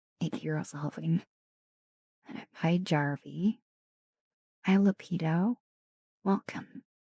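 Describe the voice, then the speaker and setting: Speaking at a very slow pace with long, frequent pauses, a woman with a fairly low pitch and a dark, mellow, somewhat breathy tone sounds dry and close, with no echo. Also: ordinary pitch variation. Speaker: ASMR streamer. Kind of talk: live stream chat with viewers. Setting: home streaming room.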